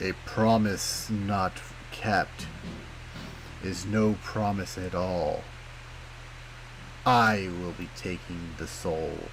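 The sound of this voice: In a put-on character voice, a man speaks with a very deep, low pitch and a menacing, solemn tone, at a very slow pace with long, frequent pauses over loud background noise.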